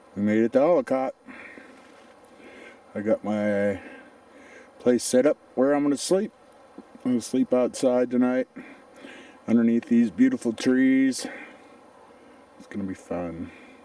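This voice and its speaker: A man speaks at a fairly slow pace with long, frequent pauses and ordinary pitch variation. The sound is dry, with no echo. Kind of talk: casual vlog chat. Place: forest. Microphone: phone near.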